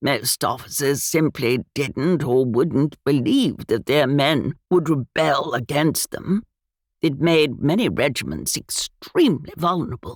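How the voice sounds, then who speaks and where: A booming, put-on character voice at a low-to-middle pitch moves at a fairly slow pace. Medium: read story. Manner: bluff, old-fashioned gallantry.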